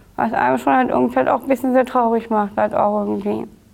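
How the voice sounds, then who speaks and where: A woman is speaking here. The recording is very clean, with a silent background. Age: 30s. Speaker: actress with Down syndrome, inclusion advocate. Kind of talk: interview. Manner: halting, many fillers.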